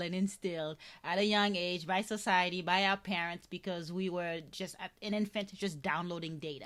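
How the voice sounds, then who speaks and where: Moderate pace and ordinary pitch variation in a woman's medium-pitched voice. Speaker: podcast host. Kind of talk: interview conversation. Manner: halting, many fillers.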